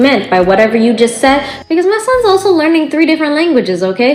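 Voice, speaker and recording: A woman with an American accent speaks with very wide pitch swings. Music plays in the background. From United States (Bangladeshi family). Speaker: mom vlogger. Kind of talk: casual vlog monologue. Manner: animated.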